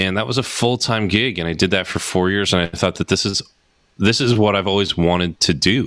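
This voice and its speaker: A man's normal speaking voice, fairly low in pitch, with an American accent and a fairly quick pace. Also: ordinary pitch variation. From New Jersey. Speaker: brand strategist. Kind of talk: interview.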